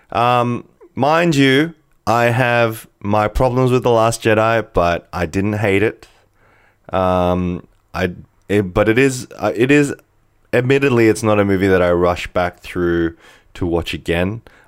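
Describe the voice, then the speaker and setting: An ordinary speaking voice from a man at a fairly low pitch, fairly slow pace and ordinary pitch variation, on a very clean recording with a silent background. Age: 40s. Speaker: podcast host, movie reviewer. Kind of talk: casual solo podcast monologue. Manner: rambling with fillers and restarts.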